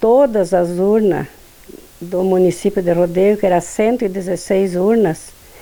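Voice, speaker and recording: A woman's dark, mellow tone with fairly even intonation. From Rio Grande do Sul, Brazil. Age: 70s. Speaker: former union leader and councillor. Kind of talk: testimony.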